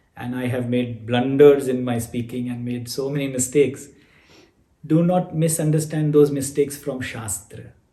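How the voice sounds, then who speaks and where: In a room with audible echo, a man with a medium pitch and a dark, mellow, somewhat breathy tone speaks at a moderate pace with fairly even intonation. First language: not English. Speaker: spiritual teacher. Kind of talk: online class Q&A.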